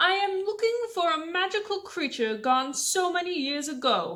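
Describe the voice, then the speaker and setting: A woman uses a put-on character voice, raised and projected at an extremely high pitch. Her pitch swings very widely while she keeps a moderate pace. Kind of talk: bedtime story. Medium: read story. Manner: commanding.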